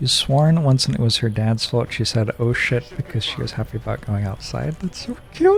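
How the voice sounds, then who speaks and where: With hardly any pauses, a man talks at a moderate pace over noticeable background noise. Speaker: video game streamer. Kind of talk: live gameplay commentary. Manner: calm.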